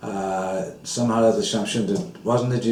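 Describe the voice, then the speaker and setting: A man with a fairly low pitch, amid noticeable background noise and audible room echo. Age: 60s. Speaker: former temple president. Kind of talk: interview. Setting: at home.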